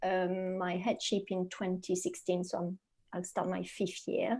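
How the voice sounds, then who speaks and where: A woman speaks with a French accent in a dark, mellow tone. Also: very clean recording, silent background. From France. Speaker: leadership coach. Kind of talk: podcast interview.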